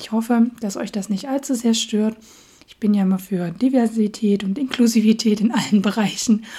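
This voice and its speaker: A woman speaks at a fairly quick pace with a fairly high pitch. Her voice is somewhat breathy, with ordinary pitch variation. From Saxony, Dresden. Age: 30s. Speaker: podcast host. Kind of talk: casual monologue.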